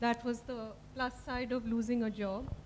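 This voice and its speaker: Light background noise sits under a woman speaking at a moderate pace in a high pitch. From India. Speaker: novelist. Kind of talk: literary festival conversation. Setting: stage with audience. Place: stage. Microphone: handheld.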